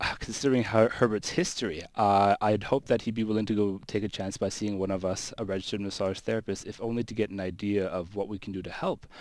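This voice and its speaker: This man has a fairly low-pitched voice. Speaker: registered massage therapist. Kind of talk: radio call-in advice. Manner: speaks louder for caller.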